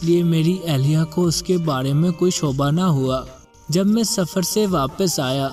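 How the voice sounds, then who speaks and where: Music plays in the background as a man with a fairly high pitch talks with ordinary pitch variation. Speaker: voice-over artist. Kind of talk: Islamic story narration.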